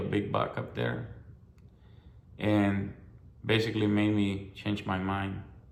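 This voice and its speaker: Amid audible room echo, a man speaks slowly-ish, at a fairly slow pace, with a fairly low pitch and monotone, flat intonation. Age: 60s. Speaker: hunter. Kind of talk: personal testimony. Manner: halting, with fillers and repetitions.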